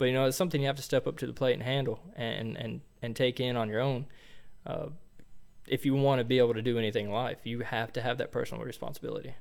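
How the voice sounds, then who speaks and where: The recording is very clean, with a silent background. A man speaks very fast at a medium pitch, with vocal fry. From Tennessee. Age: young. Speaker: electrician. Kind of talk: interview. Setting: studio. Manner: hesitant, many fillers.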